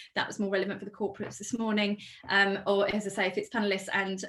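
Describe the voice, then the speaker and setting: Over noticeable background noise, a woman speaks very fast at a medium pitch with monotone, flat intonation. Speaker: events organiser hosting webinar. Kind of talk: webinar presentation. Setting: online webinar.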